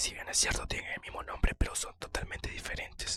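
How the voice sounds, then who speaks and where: A man is whispering. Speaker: ASMR creator. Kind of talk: ASMR whispered talk about himself. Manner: whispered.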